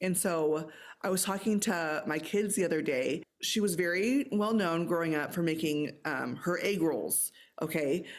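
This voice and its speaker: Speaking with an American accent at a fairly slow pace, a woman uses lively intonation and very even loudness, with audible room echo around her. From grew up moving with US Army family, incl. South Korea. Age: 40s. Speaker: author. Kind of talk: casual chat. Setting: video call. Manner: halting.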